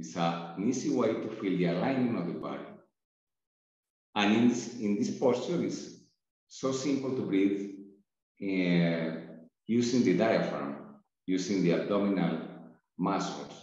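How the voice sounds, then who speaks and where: A man with a fairly low pitch talks at a fairly slow pace, his intonation lively. Long, frequent pauses break up his speech, and the room echo is audible. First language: not English. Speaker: breathwork and meditation teacher. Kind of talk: tutorial. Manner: halting.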